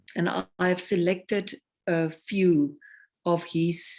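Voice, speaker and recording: Her voice sits at a medium pitch as this woman speaks with a South African accent. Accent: South African (Afrikaans) English. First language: Afrikaans. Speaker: singer-songwriter. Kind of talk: interview conversation.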